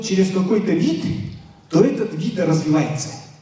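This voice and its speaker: Lively male intonation with audible room echo and noticeable background noise. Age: 60s. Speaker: lecturer. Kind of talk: lecture to students. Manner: hesitant, many filler sounds.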